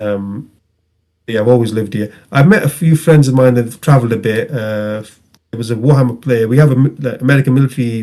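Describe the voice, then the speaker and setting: With a northern English accent, a man speaks very fast in a dark, mellow tone. His pitch varies in an ordinary way. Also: medium pitch for a man. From northern England, Rochdale. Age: 30s. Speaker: tabletop game player. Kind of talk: casual interview chat.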